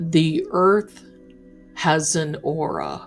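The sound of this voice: A woman booms in a put-on character voice, very deep and low in pitch. Clear music plays in the background.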